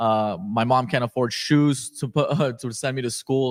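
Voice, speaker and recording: A man speaks in a plain, everyday voice at medium pitch with ordinary pitch variation. The recording is very clean, with a silent background and a dry, close sound with no echo. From Afghanistan, moved to California at eight. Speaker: entrepreneur. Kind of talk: podcast interview. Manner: casual, filler-heavy.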